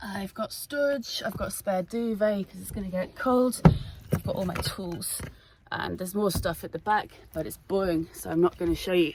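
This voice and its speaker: Amid noticeable background noise, the speech moves at a moderate pace with ordinary pitch variation and big swings in loudness. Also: woman, medium pitch for a woman. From Scotland. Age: 20s. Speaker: van-life vlogger. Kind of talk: casual vlog talk to camera.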